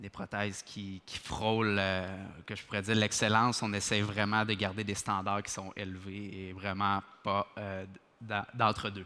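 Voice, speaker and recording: With a Quebec accent, a man with a fairly low pitch and a bright, sharp tone speaks at a fairly slow pace in a monotone, flat way on a very clean recording with a silent background. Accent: Québécois French. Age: 20s. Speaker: dental technician, lab owner. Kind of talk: conference talk. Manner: many hesitations (euh).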